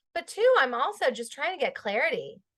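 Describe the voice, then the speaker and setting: A woman speaks at a fairly quick pace. Her tone is bright and sharp. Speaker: therapist. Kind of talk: casual chat.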